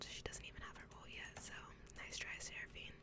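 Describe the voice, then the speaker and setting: A woman speaks in a dry sound with no echo, over loud background noise. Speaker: ASMR streamer / gamer. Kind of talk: ASMR gameplay commentary. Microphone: studio mic.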